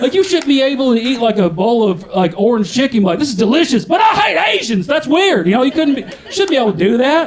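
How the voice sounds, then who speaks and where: A man with a Southern US accent talks at a very fast pace with hardly any pauses, his extremely high pitch swinging very widely. Noticeable background noise runs behind him. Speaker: stand-up comedian. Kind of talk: live stand-up comedy set.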